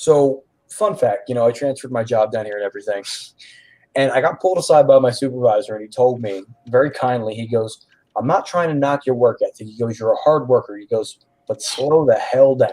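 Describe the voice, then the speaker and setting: With a Philadelphia accent, a man speaks at a fairly quick pace in a medium pitch and a dark, mellow tone, with ordinary pitch variation and big swings in loudness. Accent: Philadelphia-area American. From Philadelphia area, US Northeast. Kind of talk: casual chat. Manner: fast talker.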